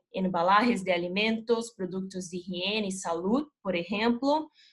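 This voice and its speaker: At a fairly slow pace, a woman with a non-native accent speaks somewhat breathily at a medium pitch with ordinary pitch variation. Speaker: chemical company regional manager. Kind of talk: corporate presentation.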